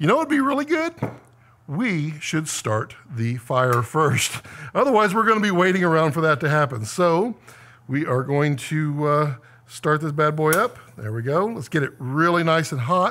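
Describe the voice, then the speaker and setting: A man speaks in a bright, sharp tone with lively intonation. Light background noise sits behind him. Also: moderate pace. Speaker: cooking show host. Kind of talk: cooking tutorial. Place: kitchen.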